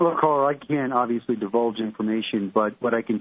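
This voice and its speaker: This man speaks fairly quickly at a medium pitch, his intonation fairly even. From New York (Brooklyn). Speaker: criminal investigator. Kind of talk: radio interview.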